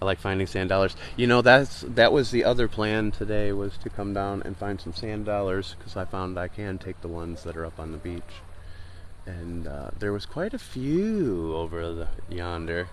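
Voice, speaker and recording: In a room with audible echo, a man speaks fairly low at a moderate pace with big swings in loudness. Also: ordinary pitch variation. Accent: American. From Michigan. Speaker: beach walk livestreamer. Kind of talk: casual chat. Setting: outdoors.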